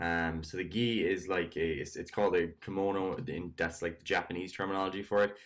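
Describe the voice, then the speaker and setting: In a normal speaking voice, a man talks at a fairly quick pace with a fairly low pitch and ordinary pitch variation against a quiet background. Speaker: fitness coach. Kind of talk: casual vlog chat. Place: home room. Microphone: webcam.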